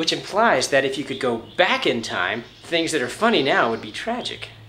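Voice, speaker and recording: Fairly high male voice with very wide pitch swings, over noticeable background noise. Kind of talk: comedic audition monologue to camera.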